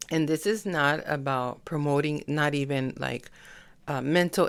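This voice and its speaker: A soft-spoken woman with a very deep, low pitch, a moderate pace, and a very clean recording with a silent background. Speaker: astrology podcaster. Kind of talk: casual solo podcast monologue. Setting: home desk at night. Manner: soft-spoken, low volume; hesitant, many fillers.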